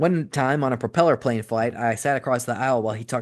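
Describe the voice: Ordinary pitch variation runs through the clip. It is plain reading aloud.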